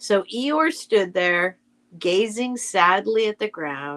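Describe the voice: With lively intonation, the passage is given a plain reading aloud.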